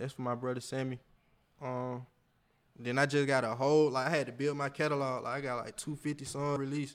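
Speaking at a fairly quick pace, a man with an American accent uses a fairly high pitch and monotone, flat intonation. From Georgia, Atlanta area. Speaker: rapper. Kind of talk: interview. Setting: studio.

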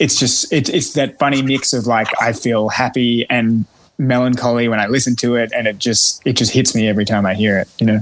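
With an Australian accent, a man talks at a very even loudness and fairly even intonation, with hardly any pauses. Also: medium pitch for a man, fairly quick pace. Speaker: singer-songwriter and guitarist. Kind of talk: casual interview chat.

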